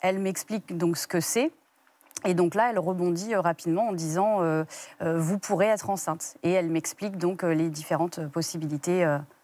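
A woman's fairly low, dark, mellow voice at a moderate pace, with fairly even intonation and a dry sound with no echo. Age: 30s. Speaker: guest mother sharing infertility story; guest. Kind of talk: TV interview testimony. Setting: TV studio. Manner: halting, many hesitations. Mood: calm, reflective. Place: studio. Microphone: lapel.

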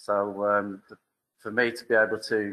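A man speaks with a West Midlands accent. His pitch sits fairly low. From West Midlands, England. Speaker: event host. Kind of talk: event speech. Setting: stage with audience. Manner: halting. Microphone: video call.

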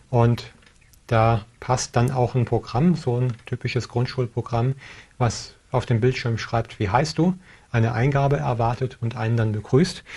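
Somewhat breathy and dark, mellow in tone, a man speaks at a fairly slow pace with ordinary pitch variation. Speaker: tech show host. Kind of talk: tutorial. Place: studio. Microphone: lapel.

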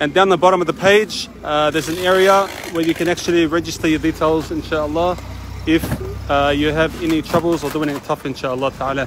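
A man at a fairly quick pace with fairly even intonation, dry with no echo, amid noticeable background noise. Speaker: charity worker. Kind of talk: on-site video update. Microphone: phone near.

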